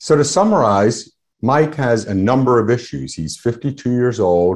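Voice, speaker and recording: Using an unremarkable speaking voice, the man talks with lively intonation at a moderate pace. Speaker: endocrinologist. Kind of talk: medical lecture. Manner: formal.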